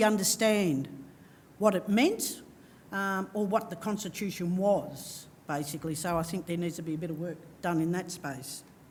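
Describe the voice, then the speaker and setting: There's audible room echo around a woman speaking. Her voice is somewhat breathy. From Victoria, Australia. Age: 50s. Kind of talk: panel discussion. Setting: stage with audience. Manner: halting.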